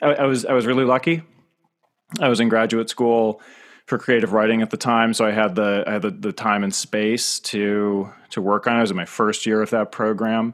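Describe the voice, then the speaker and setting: In an American accent, a man talks at a fairly quick pace on a very clean recording with a silent background. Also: medium pitch for a man, fairly even intonation. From rural northeastern US. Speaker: author. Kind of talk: interview. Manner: halting, many fillers and repeats.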